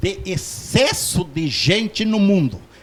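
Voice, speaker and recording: A man speaks at a very slow pace while noticeable background noise runs underneath. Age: 60s. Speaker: doctor. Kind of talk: interview. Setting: studio.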